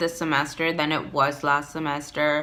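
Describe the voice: A woman with an American accent speaks at a fairly slow pace in a bright, sharp tone.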